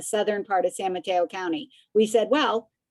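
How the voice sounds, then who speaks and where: A woman with a medium-pitched voice talks at a fairly quick pace. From Connecticut, US Northeast. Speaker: business organization leader. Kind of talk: panel discussion. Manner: animated.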